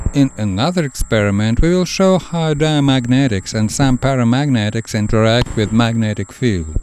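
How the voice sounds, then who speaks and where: A man with a Russian accent speaks at a moderate pace in a medium pitch, with very even loudness, lively intonation, hardly any pauses and noticeable background noise. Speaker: science demonstrator. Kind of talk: educational science narration.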